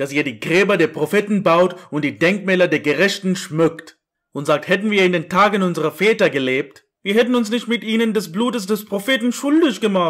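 A man with a high pitch speaks at a moderate pace with lively intonation. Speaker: preacher. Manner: animated, accusatory, emphatic.

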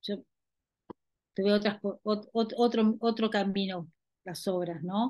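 Very slow speech from a woman, with long, frequent pauses, a dark, mellow tone, fairly even intonation, a dry sound with no echo and a quiet background. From Buenos Aires, Argentina; Argentina. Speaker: dance video festival director. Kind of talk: panel discussion. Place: home room. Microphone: microphone problems; video call.

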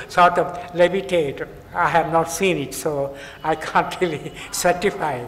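A high-pitched man at a fairly slow pace, with light background noise. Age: 80s+. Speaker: yoga elder. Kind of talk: interview answer. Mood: warm, reminiscing. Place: hall. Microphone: podium.

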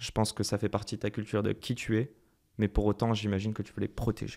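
A man speaking at a moderate pace. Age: 30s. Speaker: podcast host. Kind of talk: casual interview. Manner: energetic.

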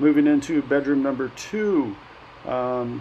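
Light background noise sits under a man talking at a fairly slow pace. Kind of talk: casual vlog tour commentary. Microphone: phone near.

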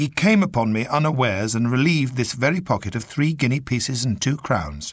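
The reading voice heard here is unforced.

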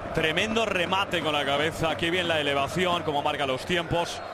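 The speaker keeps a moderate pace in an ordinary speaking voice, and the pitch varies in an ordinary way. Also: man. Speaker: football match commentator. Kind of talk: live football commentary.

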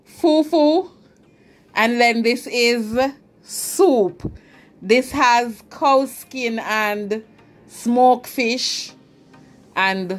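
A woman's voice moves with ordinary pitch variation over faint background music. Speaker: food vlogger. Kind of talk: casual vlog chat. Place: kitchen. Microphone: camera far.

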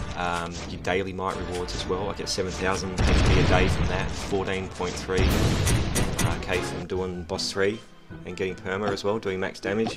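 Loud music plays in the background as the speech moves at a moderate pace. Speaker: mobile game player. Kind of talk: casual gameplay commentary. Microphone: headset.

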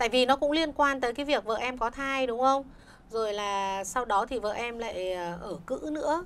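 At a fairly slow pace, the woman talks with a high pitch and ordinary pitch variation. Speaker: doctor. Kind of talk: live radio call-in advice. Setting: radio studio. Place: studio.

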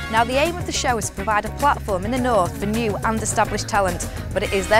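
Music plays in the background. A woman speaks at a very fast pace. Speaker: TV presenter. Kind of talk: interview questions on TV show.

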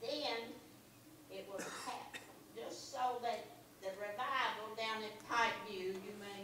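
Amid noticeable background noise and audible room echo, a woman talks at a very slow pace. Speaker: churchgoer sharing testimony. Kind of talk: church testimony. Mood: earnest, reflective. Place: church.

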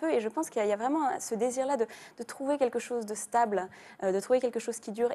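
This woman has a dark, mellow tone. She talks at a fairly quick pace with lively intonation. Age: 20s. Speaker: young adult novelist; guest. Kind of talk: TV studio interview. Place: studio. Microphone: lapel.

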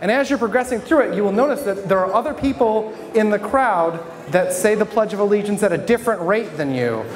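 Over light background noise, a man talks at a very fast pace in a high voice. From Michigan (Flint); Michigan. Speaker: stand-up comedian and local newspaper reporter; stand-up comedian, local newspaper reporter. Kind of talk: stand-up. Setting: stage with audience at a brewery. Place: bar. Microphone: handheld.

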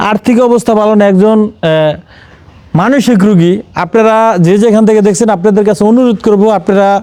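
Over noticeable background noise, a man speaks at a high pitch. His intonation stays fairly even. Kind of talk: field report and interview.

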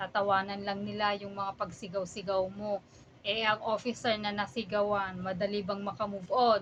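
At a moderate pace, a woman talks in an unremarkable speaking voice at medium pitch. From Philippines. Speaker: vlogger, overseas accountant. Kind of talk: casual vlog monologue.

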